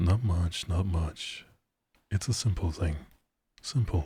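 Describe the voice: A breathy, put-on character voice speaks at a fairly slow pace. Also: man, very deep, low pitch for a man.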